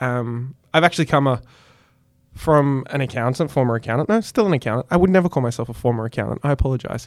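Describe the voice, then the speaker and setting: Very fast male speech at medium pitch with an Australian accent, in a very clean recording with a silent background. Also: ordinary pitch variation. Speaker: podcast host. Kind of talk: interview. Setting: studio. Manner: animated.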